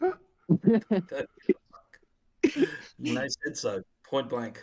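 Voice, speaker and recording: A man with an Australian accent speaks very slowly, with big swings in loudness. The sound is dry and close, with no echo. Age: 40s. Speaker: author. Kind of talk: casual chat.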